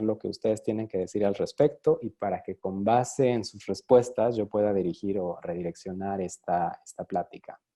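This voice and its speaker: The sound is dry and close with no echo, over a quiet background. A man speaks in a dark, mellow tone. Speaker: design researcher, speaker. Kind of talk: online talk / lecture. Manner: fast.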